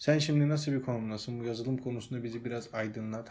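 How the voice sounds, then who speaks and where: A man with a normal speaking voice, medium in pitch, at a fairly quick pace. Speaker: podcast host. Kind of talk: casual chat. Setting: at home.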